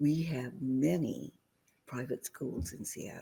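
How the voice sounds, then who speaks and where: Very slow in pace, a woman speaks with a very deep, low pitch, vocal fry and very wide pitch swings in a dark, mellow tone. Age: 80s+. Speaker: community activist and researcher. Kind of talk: interview answer. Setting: remote recording.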